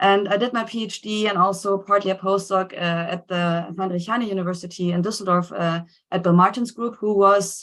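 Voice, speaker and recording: A woman in a German accent, fairly quick with hardly any pauses, monotone and flat in intonation, against a quiet background. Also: medium pitch for a woman. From Germany. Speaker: scientist. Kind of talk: seminar talk.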